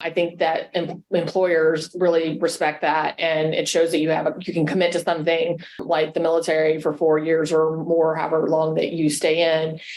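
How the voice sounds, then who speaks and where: Speaking at a moderate pace with hardly any pauses, a woman keeps her fairly low voice monotone and flat while noticeable background noise runs behind her. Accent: American. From Texas. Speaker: Air Force veteran. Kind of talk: podcast interview.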